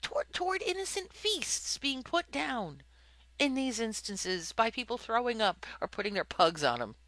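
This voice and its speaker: At a fairly slow pace, a raised, projected voice swings very widely in pitch. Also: woman. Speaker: podcast host. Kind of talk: casual chat. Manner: animated.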